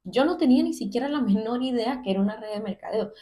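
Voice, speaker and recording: A woman's somewhat breathy voice has a dark, mellow tone, moving at a fairly quick pace with ordinary pitch variation. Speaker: content creator sharing personal story. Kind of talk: personal testimony monologue. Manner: conversational, with hesitations.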